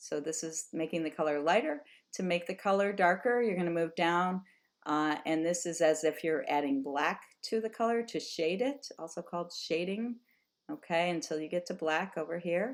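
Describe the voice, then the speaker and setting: On a very clean recording with a silent background, a woman talks at a moderate pace. She has an ordinary speaking voice, fairly low in pitch, with ordinary pitch variation. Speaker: high school art teacher. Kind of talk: tutorial.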